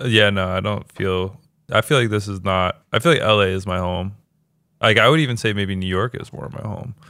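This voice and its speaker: With an American accent, a man speaks at a fairly low pitch and a fairly quick pace. It is a normal speaking voice with ordinary pitch variation. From Baltimore, US. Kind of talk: casual chat.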